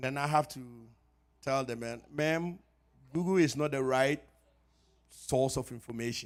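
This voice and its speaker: This man has a Ghanaian accent and a medium pitch, speaking at a moderate pace with fairly even intonation. Long, frequent pauses break up his speech. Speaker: pharmacist. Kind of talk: health talk at church. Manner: conversational.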